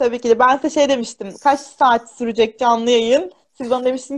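In a quiet background, a woman speaks at a high pitch with fairly even intonation. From central Anatolia, Kırşehir; Central Anatolia. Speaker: primary school teacher. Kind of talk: casual interview. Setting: live video stream. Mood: warm, smiling, chatty. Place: home room. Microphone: video call.

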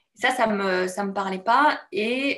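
A woman's voice with ordinary pitch variation. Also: quiet background. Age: 30s. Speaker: bootcamp participant giving testimonial. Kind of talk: testimony interview. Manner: halting, many hesitations. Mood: reflective, warm. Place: home room. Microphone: video call.

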